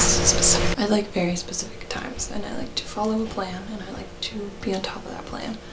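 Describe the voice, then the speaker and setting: Whispering, a woman speaks at a moderate pace. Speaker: university student. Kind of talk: casual talk to camera. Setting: dorm room. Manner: whispered, quiet. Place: home room. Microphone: webcam.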